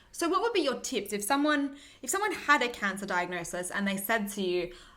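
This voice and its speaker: A woman with a fairly high pitch and lively intonation speaks at a fairly quick pace amid noticeable background noise and audible room echo. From Australia. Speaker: medical doctor and video host. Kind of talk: interview.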